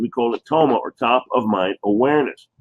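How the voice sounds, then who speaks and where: The voice belongs to a man. He talks in a New Jersey accent. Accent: New Jersey American. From New Jersey, US. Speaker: chiropractor. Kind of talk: sales pitch presentation.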